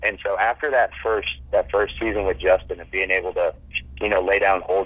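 Through noticeable background noise, a man with an American accent talks at a very fast pace. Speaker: former college football player. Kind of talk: interview.

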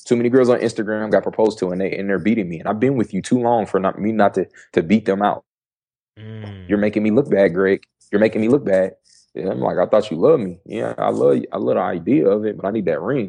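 Against a quiet background, a man with an American accent talks very fast in a dark, mellow tone with vocal fry. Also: fairly low pitch for a man, ordinary pitch variation. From US Midwest, Dayton, Ohio. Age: 20s. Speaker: entrepreneur and speaker. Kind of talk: casual interview chat.

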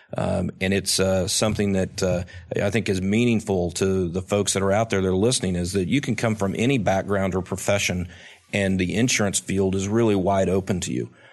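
Speaking at a fairly quick pace, a man with an Oklahoma accent has a very deep, low pitch. His intonation is fairly even. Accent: Oklahoma American. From Oklahoma, Tulsa. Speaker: state insurance commissioner. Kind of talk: interview. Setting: conference in Chicago. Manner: hesitant, many fillers.

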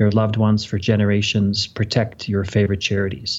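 A man talks in a plain, everyday voice at a moderate pace. His pitch is fairly low. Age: 50s. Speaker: financial advisor. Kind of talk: interview.

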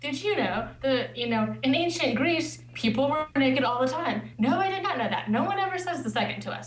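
A woman with a Midwestern American accent, hardly any pauses and noticeable background noise. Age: 30s. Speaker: listener couple guest. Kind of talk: interview.

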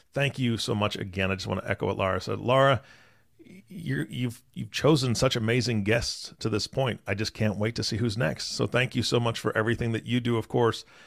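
A man speaks very fast in a fairly low voice with vocal fry. The recording is very clean, with a silent background. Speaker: co-host, podcast announcer. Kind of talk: casual chat and show intro/outro.

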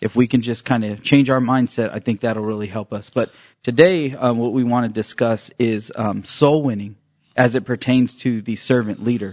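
Set against a quiet background, a man with an unremarkable speaking voice talks at a moderate pace, his medium pitch and intonation fairly even. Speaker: church member co-host. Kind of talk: casual religious podcast discussion. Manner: conversational, uses fillers.

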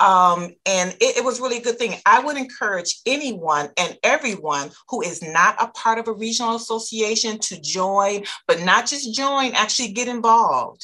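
Speaking in an ordinary speaking voice with an American accent, a woman talks at a moderate pace with fairly high pitch, lively intonation, and hardly any pauses. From Michigan, US. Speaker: distributor company founder. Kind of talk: casual interview.

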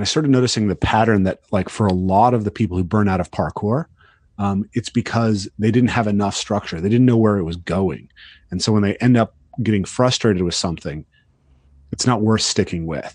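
An ordinary speaking voice, a man at a fairly low pitch and fairly quick pace, in a dry, close sound with no echo. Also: ordinary pitch variation, quiet background. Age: 30s. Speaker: parkour coach. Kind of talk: podcast interview.

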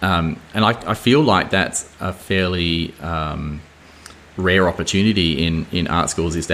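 With an Australian accent, a man speaks in a very deep, low voice with fairly even intonation over noticeable background noise. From Australia, Adelaide Hills. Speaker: painter. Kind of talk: casual interview. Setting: artist's studio. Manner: hesitant, many fillers and repeats.

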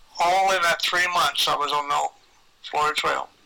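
There is noticeable background noise in this clip. A man talks at a high pitch with ordinary pitch variation. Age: 80s. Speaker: long-distance hiker and paddler. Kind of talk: casual interview. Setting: video call.

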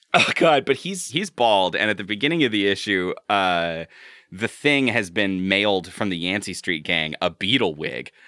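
At a moderate pace, a man with a normal speaking voice talks at a fairly low pitch with lively intonation. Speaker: podcast host. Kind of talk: casual chat.

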